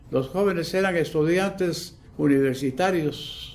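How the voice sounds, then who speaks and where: Amid audible room echo, a man with a fairly high voice speaks at a fairly slow pace with ordinary pitch variation. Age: 80s+. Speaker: witness of historical events. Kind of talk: interview testimony.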